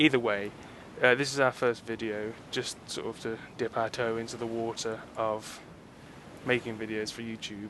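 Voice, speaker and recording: A man's medium-pitched, monotone voice at a moderate pace, with flat intonation. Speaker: gamer giving game advice. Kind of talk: gaming tutorial voice-over. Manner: hesitant, slightly breathless.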